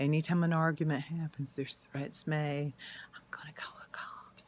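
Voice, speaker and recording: A woman speaks fairly slowly in an animated tone. Her voice is somewhat breathy. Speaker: YouTuber sharing personal experience. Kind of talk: personal testimony monologue. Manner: emotional, animated.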